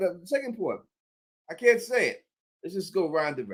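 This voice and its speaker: This man has a strong New York accent. He talks at a moderate pace. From US, Queens, New York. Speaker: live stream host. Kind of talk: live stream Q&A reading super chats. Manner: halting, many fillers and restarts.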